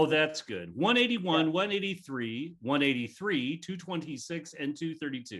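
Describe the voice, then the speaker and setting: With an ordinary speaking voice, a man talks at a moderate pace with a fairly high pitch, lively intonation and hardly any pauses. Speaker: auctioneer. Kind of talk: charity auction calling. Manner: humorous, bantering.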